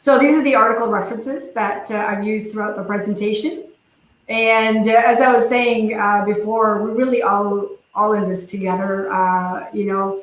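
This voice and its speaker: A woman's fairly high voice with fairly even intonation and audible room echo. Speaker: dental industry presenter. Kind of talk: webinar presentation and Q&A. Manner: fast.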